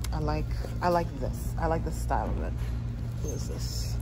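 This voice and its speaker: A fairly slow pace against loud background noise. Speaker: shopping vlogger. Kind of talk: casual vlog chat. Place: shop. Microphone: phone near.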